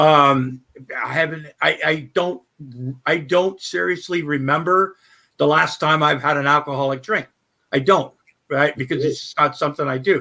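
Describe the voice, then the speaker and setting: A man with a fairly high pitch and a bright, sharp tone. His pitch varies in an ordinary way, with long, frequent pauses. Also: moderate pace. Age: 60s. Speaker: guest in live stream chat. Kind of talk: casual chat.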